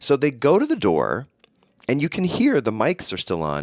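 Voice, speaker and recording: Vocal fry runs through a man's voice at a moderate pace in a very clean recording with a silent background. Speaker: podcast host. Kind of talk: casual comedic monologue.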